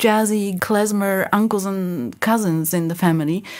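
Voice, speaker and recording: On a very clean recording with a silent background, a woman with a Polish accent talks at a moderate pace and medium pitch with fairly even intonation. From Poland, Lodz. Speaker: singer and pianist. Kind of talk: interview.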